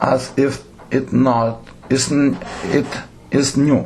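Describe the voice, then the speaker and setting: There is audible room echo and noticeable background noise. A man speaks at a medium pitch with fairly even intonation. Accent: non-native. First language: Lithuanian. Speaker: theatre director. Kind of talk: lecture. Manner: halting.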